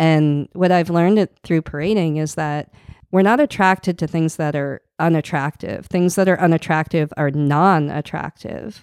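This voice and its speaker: Speaking at a moderate pace with fairly even intonation, a woman uses an ordinary speaking voice pitched fairly low. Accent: American. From US Northeast, outside Boston. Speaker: parade krewe founder and gun violence activist. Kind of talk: casual interview.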